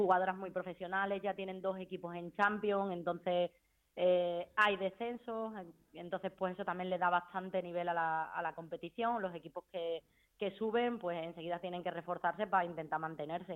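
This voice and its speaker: A woman with an ordinary speaking voice talks at a moderate pace and medium pitch, her intonation fairly even. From Spain. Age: 30s. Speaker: footballer. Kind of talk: interview.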